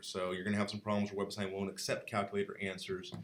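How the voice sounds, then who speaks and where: A man's fairly low-pitched voice with a bright, sharp tone and audible room echo. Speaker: math lecturer. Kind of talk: lecture. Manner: fast.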